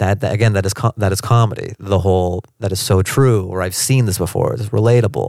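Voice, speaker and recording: A man with an American accent and a normal speaking voice talks at a fairly quick pace and fairly low pitch, with ordinary pitch variation and hardly any pauses, on a very clean recording with a silent background. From US Pacific Northwest (Seattle). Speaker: stand-up comedian. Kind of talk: interview. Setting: in person, Washington DC.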